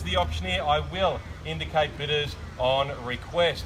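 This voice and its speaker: Through noticeable background noise, a man speaks with an Australian accent. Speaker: auctioneer. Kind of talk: property auction. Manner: loud; formal.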